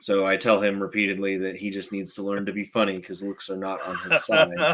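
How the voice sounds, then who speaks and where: A man with an ordinary speaking voice, fairly low pitch, ordinary pitch variation, and a fairly quick pace. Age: 30s. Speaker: podcast co-host. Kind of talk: casual chat.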